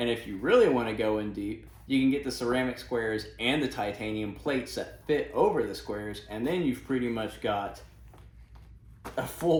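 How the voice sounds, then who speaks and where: Medium-pitched male voice with ordinary pitch variation and audible room echo. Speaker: gear reviewer. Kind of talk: tutorial. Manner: casual, with fillers and self-corrections.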